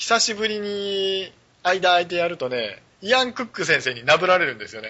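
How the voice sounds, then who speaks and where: Animated in tone, a man speaks at a moderate pace in a high voice, with very wide pitch swings and big swings in loudness. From rural Japan. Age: 40s. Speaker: web radio host. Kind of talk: casual chat.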